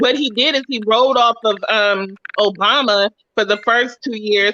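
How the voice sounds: The sound is dry and close with no echo as a woman speaks in a bright, sharp tone.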